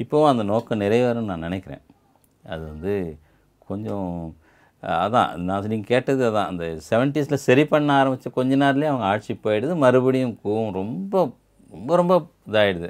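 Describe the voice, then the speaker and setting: The voice belongs to a man. His intonation is lively, and the background stays quiet. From Chennai, Tamil Nadu. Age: 50s. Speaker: writer. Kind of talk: interview. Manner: halting. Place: home room. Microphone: lapel.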